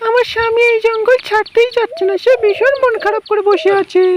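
A cartoonish character voice, female-sounding, pitched extremely high. It moves at a fairly quick pace.

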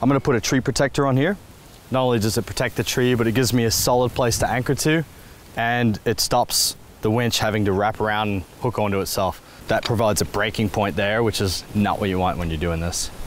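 Recorded dry with no echo and light background noise, a man speaks at a very fast pace with ordinary pitch variation. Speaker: travel show host. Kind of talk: tutorial. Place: open country.

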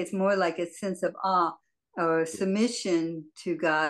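Against a quiet background, a woman speaks at a very slow pace. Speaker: Bible study participant. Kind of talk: reading aloud and discussion. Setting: video call. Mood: earnest, reflective. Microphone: video call.

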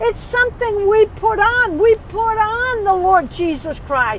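Over light background noise, a woman speaks at an extremely high pitch and a fairly slow pace with ordinary pitch variation, in a dry sound with no echo. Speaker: lay preacher. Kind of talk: sermon. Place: car. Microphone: earbuds.

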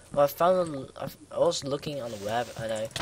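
A man talks at a moderate speed while noticeable noise sits in the background. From Netherlands. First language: Dutch. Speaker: gamer. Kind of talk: gameplay commentary.

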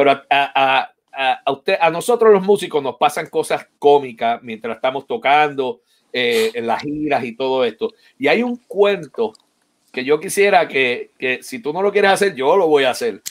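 At a moderate pace, a man talks with lively intonation and a fairly high pitch. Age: 50s. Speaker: percussionist and online show host; online show host. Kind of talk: live-streamed interview. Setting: online live stream. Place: home room. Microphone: webcam.

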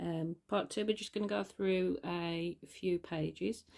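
Very slowly, a woman speaks with quiet all around. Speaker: artist. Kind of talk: casual talk to camera. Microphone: phone near.

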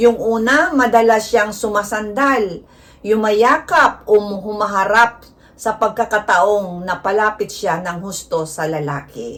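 At a very slow pace, a woman speaks at a fairly high pitch. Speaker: vlogger. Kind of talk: informal tutorial to camera. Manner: flat, not sweet-toned; direct, plain delivery.

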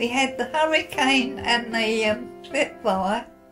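A woman's voice comes through with clear music in the background. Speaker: WW2 veteran, former WAAF member. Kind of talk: interview answer, personal recollection. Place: home room.

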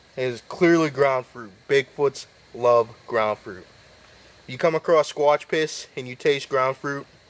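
Big swings in loudness mark a man's speech at a fairly slow pace. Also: ordinary pitch variation. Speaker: comic paranormal investigator. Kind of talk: comedic mock-documentary commentary. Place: forest. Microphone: phone near.

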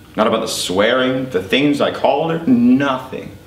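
Lively intonation with audible room echo. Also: man. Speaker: actor performing monologue. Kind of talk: dramatic monologue. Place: stage.

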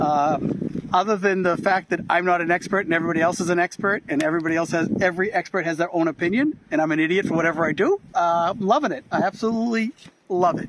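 With an American accent, a man talks very fast in a high pitch with ordinary pitch variation, the sound dry with no echo and noticeable background noise behind him. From US. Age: 60s. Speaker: retired expat farmer, former marine; interviewee. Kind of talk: casual interview. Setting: outdoors on a farm. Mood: happy, enthusiastic. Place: garden. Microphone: phone near.

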